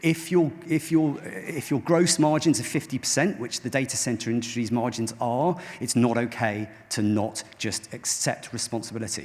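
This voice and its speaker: A man at a medium pitch talks with ordinary pitch variation amid noticeable background noise. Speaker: tech company founder and CEO. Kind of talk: conference keynote talk. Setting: stage with audience. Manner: fast. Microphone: microphone quite far away.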